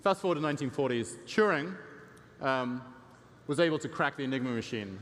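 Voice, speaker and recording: A man with an English accent, lively intonation and a fairly quick pace. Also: fairly high pitch for a man. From England. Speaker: tech company CEO and conference speaker. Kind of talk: conference presentation. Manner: frequent fillers (um, uh).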